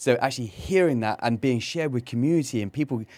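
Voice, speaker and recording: This is a man speaking on a very clean recording with a silent background. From England, Cornwall. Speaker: co-host, business consultant. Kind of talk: casual chat. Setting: studio.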